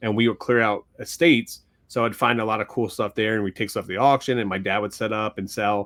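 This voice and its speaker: With an American accent, a man talks very fast in a fairly low voice and fairly even intonation. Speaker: sports card podcast co-host and card flipper. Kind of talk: casual chat.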